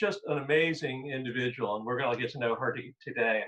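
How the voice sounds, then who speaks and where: A man speaks with ordinary pitch variation. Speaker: moderator. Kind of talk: interview. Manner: fast.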